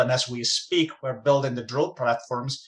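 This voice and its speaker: This is a man with a Spanish accent. His pitch is medium. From Spain. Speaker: mining company executive. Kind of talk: interview.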